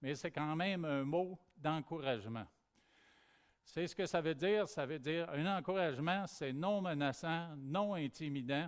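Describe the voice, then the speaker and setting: This man talks at a fairly slow pace with a Quebec accent, his fairly high pitch showing ordinary pitch variation. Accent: Québécois French. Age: 60s. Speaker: pastor. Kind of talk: sermon.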